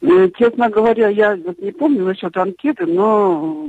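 Speaking at a very slow pace, a woman with a medium pitch lets her voice swing very widely, heard in a dry, close sound with no echo. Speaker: heritage preservation specialist. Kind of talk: radio interview. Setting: phone call.

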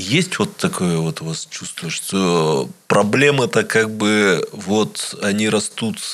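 A man speaks at a very slow pace with a fairly low pitch. His intonation is lively. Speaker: radio interviewer. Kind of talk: interview. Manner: measured, deliberate.

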